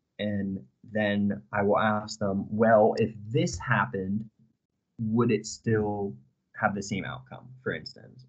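A man with a New England accent speaks at a very slow pace. His pitch is fairly low, with ordinary pitch variation. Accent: American (New England). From US, Connecticut. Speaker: university student. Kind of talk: interview.

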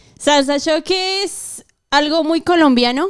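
Spoken at a fairly slow pace, this is a normal speaking voice with lively intonation. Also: woman. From Colombia. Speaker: guest. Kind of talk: casual chat.

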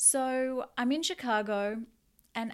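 A woman with an Australian accent speaks with ordinary pitch variation on a very clean recording with a silent background. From Australia, Newcastle NSW. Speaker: podcast host, energy healer and coach. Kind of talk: casual solo podcast monologue.

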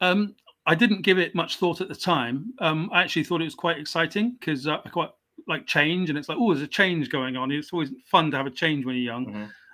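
A man's fairly high, bright, sharp voice with an English accent, very fast pace, and lively intonation. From southwest England, raised in South Wales. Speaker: author and justice reform advocate. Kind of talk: interview. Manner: halting.

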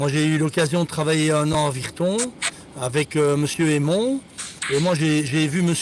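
Noticeable background noise sits behind a man speaking at a fairly slow pace. His pitch is fairly high, with ordinary variation. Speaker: football scout. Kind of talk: casual chat. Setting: in a car.

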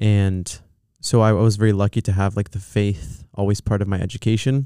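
In a Californian accent, a man speaks at a moderate pace with a fairly low pitch and a dark, mellow tone, recorded dry and close with no echo on a very clean, silent background. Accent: Californian American English. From Southern California. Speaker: film producer. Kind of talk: casual chat. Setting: studio.

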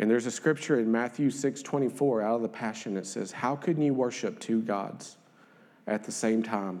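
A man's medium-pitched voice in a Southern US accent, very cleanly recorded against a silent background. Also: ordinary pitch variation, moderate pace. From northern Louisiana. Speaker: lay preacher. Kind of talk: sermon. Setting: church.

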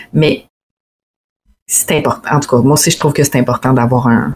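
A somewhat breathy voice at a fairly quick pace. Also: woman. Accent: Quebec. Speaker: wedding photographer and videographer. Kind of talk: casual chat.

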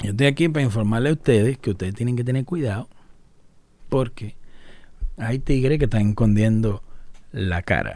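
A man's dark, mellow tone moves at a moderate pace, broken by long, frequent pauses. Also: medium pitch for a man, ordinary pitch variation. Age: 30s. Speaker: YouTuber. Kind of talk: casual vlog monologue. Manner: animated.

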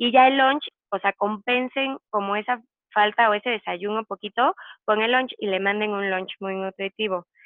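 In a fairly high pitch, a woman speaks with fairly even intonation. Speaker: nutritionist. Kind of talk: casual interview. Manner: fast.

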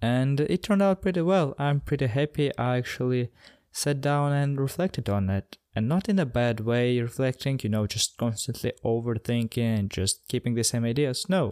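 A man with a normal speaking voice talks at a moderate pace in a medium pitch, with lively intonation, very even loudness and hardly any pauses. The recording is very clean and dry, close with no echo, over a silent background. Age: 20s. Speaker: podcast host. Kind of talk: reflective monologue.

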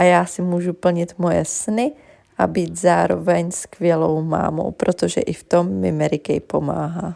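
A woman at a fairly slow pace on a very clean recording with a silent background. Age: 20s. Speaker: beauty consultant. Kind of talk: personal testimony.

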